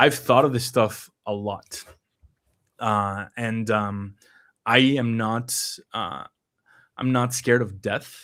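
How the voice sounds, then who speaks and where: Here a man with a Spanish accent talks at a very slow pace, leaving long, frequent pauses. His pitch is medium and his intonation fairly even. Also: very clean recording, silent background. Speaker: numerology reader and stream host. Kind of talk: live stream conversation. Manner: halting, many fillers.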